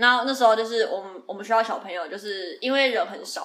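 A woman speaks at a medium pitch. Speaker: podcast co-host. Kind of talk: casual chat.

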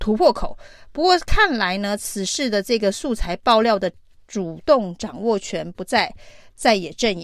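In an ordinary speaking voice, a woman talks at a fairly slow pace and fairly high pitch, her loudness swinging widely, on a very clean recording with a silent background. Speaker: political commentary podcast host. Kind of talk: solo news commentary.

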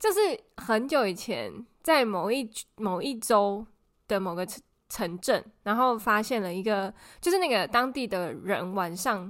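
A woman's fairly high voice in a Taiwanese accent, fairly slow in pace, with ordinary pitch variation. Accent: Taiwanese Mandarin. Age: 30s. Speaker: podcast co-host, office worker. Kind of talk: casual chat. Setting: remote recording with co-host.

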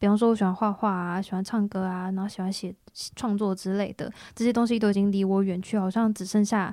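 At a very fast pace, a woman with a dark, mellow tone and medium pitch speaks in a flat monotone on a very clean recording with a silent background. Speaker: band member, singer. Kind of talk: casual interview chat.

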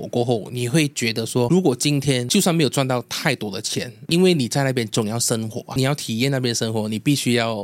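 Here a man with an ordinary speaking voice and a medium pitch talks at a moderate pace with lively intonation. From Malaysia. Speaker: food vlogger. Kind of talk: interview.

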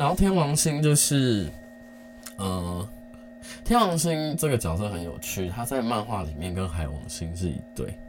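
A man speaks fairly slowly at a fairly low pitch, his voice swinging very widely in pitch. Music plays in the background, and room echo is audible. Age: 30s. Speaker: podcast host. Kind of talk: casual solo chat. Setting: home recording late at night. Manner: halting, many pauses.

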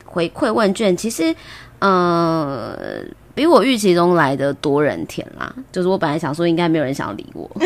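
A woman's fairly low voice with lively intonation at a moderate pace. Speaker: podcast host. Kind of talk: casual chat. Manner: frequent laughter.

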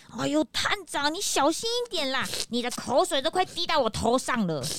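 A woman puts on a character voice, high-pitched and fairly bright in tone. She speaks at a fairly quick pace, her pitch swinging widely.

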